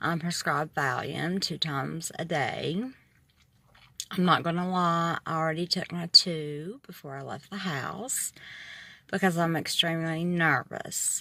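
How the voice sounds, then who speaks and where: With an Appalachian accent, a woman speaks at a fairly slow pace in a fairly low pitch with a bright, sharp tone and fairly even intonation. The recording is very clean, with a silent background. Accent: noticeable regional accent, Appalachian. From moved around the US, military family. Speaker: vlogger, patient. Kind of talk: personal video diary. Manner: hesitant, many ums.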